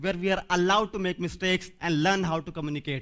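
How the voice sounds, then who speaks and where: A high-pitched man talking at a very fast pace. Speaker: speaker on stammering. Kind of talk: inspirational talk.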